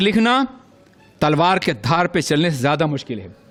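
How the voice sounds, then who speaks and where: With a passionate tone, a man speaks in a high pitch and lively intonation. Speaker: Islamic scholar giving a religious sermon. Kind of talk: religious sermon (bayan) to an audience. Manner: passionate, oratorical, emphatic.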